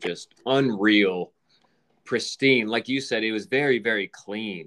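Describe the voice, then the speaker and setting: In an ordinary speaking voice, the talker moves at a fairly slow pace with lively intonation. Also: man. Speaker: podcast host. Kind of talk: casual chat.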